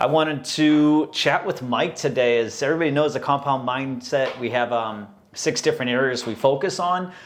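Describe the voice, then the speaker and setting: At a moderate pace and with hardly any pauses, a man with an American accent speaks in a fairly high pitch with ordinary pitch variation. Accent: Boston accent, slight, comes out at times. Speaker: podcast host. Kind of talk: casual interview chat.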